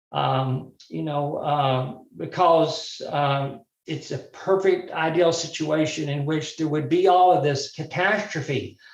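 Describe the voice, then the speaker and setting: At a very slow pace, a man with a Southern US accent speaks with a fairly high pitch and fairly even intonation. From US South, Birmingham, Alabama. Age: 60s. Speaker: mental health speaker. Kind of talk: workshop talk. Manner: halting, many fillers.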